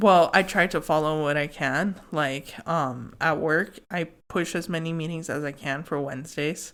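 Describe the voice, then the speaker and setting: A woman's very deep, low voice at a fairly slow pace, in a very clean recording with a silent background. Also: fairly even intonation. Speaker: podcast host, intuitive tarot reader. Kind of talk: casual chat. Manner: stumbling over words.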